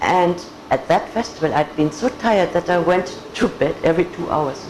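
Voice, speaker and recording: Music plays behind a woman with a German accent. Her fairly low pitch shows ordinary variation. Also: moderate pace. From Germany, Augsburg. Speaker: patient. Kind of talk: testimony.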